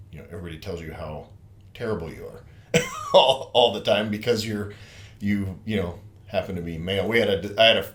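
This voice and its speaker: A man's fairly low voice at a fairly quick pace, with audible room echo and noticeable background noise. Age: 50s. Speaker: podcast host. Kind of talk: casual chat.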